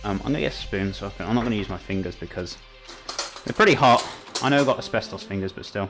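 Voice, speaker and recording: A man with a Welsh accent talking at a very fast pace over music in the background. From Wales. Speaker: live-streamer cooking on camera. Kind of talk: casual live-stream chat while cooking.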